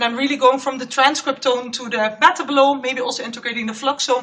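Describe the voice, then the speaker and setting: Using a raised, projected voice, a woman speaks at a high pitch and a fairly quick pace with ordinary pitch variation. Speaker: postdoc researcher. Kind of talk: conference talk.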